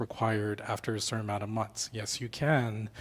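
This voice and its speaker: A man with a Canadian accent, fairly low in pitch and somewhat breathy, at a moderate pace with fairly even intonation, on a very clean recording with a silent background. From Canada, Toronto. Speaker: founder of a job network for newcomers. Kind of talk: panel discussion. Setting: studio panel with microphones.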